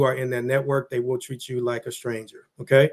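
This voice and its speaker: A man's monotone, flat delivery. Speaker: business vlogger. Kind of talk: motivational monologue. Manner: fast.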